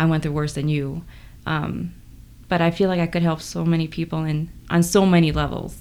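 This woman has an unremarkable speaking voice with an American accent. She talks at a moderate pace in a fairly low pitch. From South Korea, Incheon, then US. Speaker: personal trainer. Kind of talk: testimony.

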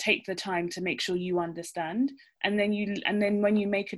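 A woman speaks with a British accent at medium pitch and fairly even intonation. The recording is very clean with a silent background. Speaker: obstetrician. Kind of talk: panel discussion.

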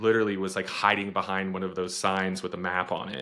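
A man with an American accent has a very deep, low pitch, a bright, sharp tone and monotone, flat intonation. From Texas (Austin). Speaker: podcast co-host with lived experience of addiction. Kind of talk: personal testimony in interview. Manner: halting, many fillers and restarts.

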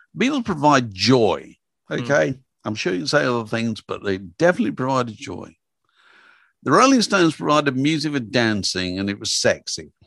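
A man with an English accent, his pitch swinging very widely, against a quiet background. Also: medium pitch for a man, fairly quick pace. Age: 70s. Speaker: music journalist and author. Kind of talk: interview.

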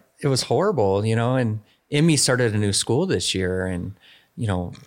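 Very wide pitch swings from a man, captured in a very clean recording with a silent background. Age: 40s. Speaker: police officer. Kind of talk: casual interview conversation. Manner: many filler words (um, you know).

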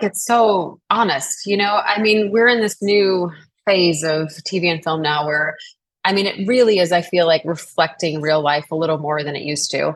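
Medium pitch from a woman with an American accent, very wide pitch swings and a moderate pace. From US South, New Orleans. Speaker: actress. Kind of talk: interview.

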